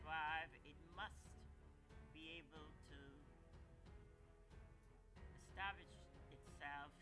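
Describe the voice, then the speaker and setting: A man talks at a fairly slow pace with long, frequent pauses while music plays clearly in the background. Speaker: plant enthusiast narrator. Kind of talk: documentary narration with pauses. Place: garden.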